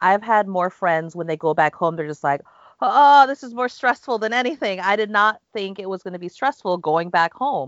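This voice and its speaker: With an American accent and an ordinary speaking voice, a woman talks at a moderate pace and medium pitch, her intonation lively. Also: big swings in loudness. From United States. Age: 40s. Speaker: university language teacher. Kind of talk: casual chat.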